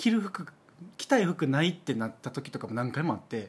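A man talks in a Kansai accent. His pitch swings very widely. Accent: Kansai Japanese. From Osaka. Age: 30s. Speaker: podcast co-host. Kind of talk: casual chat.

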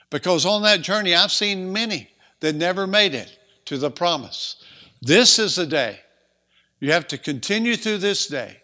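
With lively intonation, a man with a high pitch uses a raised, projected voice and a bright, sharp tone on a very clean recording with a silent background. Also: moderate pace. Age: 60s. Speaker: preacher. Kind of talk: sermon.

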